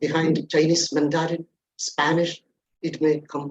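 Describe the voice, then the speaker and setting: This man's voice sits fairly high in pitch, and his intonation stays fairly even. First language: Malayalam. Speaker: corporate trainer. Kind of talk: webinar talk.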